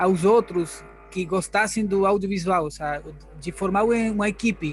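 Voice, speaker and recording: A high-pitched man with a Spanish accent speaks at a fairly slow pace with ordinary pitch variation. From Argentina, Buenos Aires. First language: Spanish (speaking Portuguese). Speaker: workshop participant. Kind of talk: asking a question.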